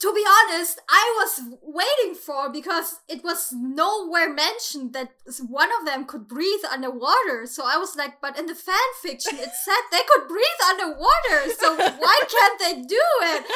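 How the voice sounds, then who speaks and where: A woman with a German accent speaks in a raised, projected voice at an extremely high pitch, with a bright, sharp, nervous tone. Her pace is fairly slow, with very wide pitch swings and big swings in loudness. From Germany. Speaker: guest, podcast listener. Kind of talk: casual chat.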